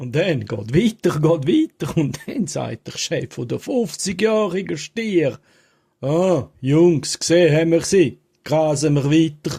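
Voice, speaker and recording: A man with a Graubünden accent talks at a very slow pace, his intonation lively. His pitch is fairly high and his tone dark and mellow. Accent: Swiss German, Graubünden dialect. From Falera, Graubünden, Switzerland. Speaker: joke teller. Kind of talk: humorous joke telling to camera. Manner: humorous, casual.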